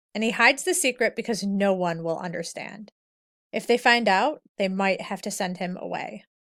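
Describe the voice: Someone does plain reading aloud. Pitch shifts an ordinary amount against a quiet background.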